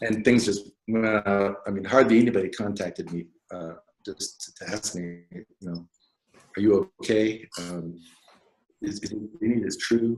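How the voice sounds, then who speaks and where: A man speaks at a moderate pace with a fairly low pitch and ordinary pitch variation. His loudness swings widely, and he takes long, frequent pauses. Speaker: alternative media writer. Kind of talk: personal interview conversation. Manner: mumbling; halting, hesitant. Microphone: too quiet, sitting too far from mic.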